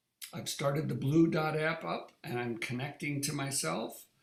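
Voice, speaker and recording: This man has a fairly high pitch with vocal fry. He speaks at a fairly slow pace. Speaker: wellness device user group leader. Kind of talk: live online demo tutorial. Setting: live online meeting.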